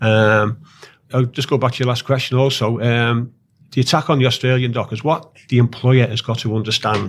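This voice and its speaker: At a moderate pace, the speaker talks with a Liverpool accent and fairly even intonation. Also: man. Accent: Liverpool (Scouse). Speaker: dock worker and union activist. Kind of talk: interview. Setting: studio.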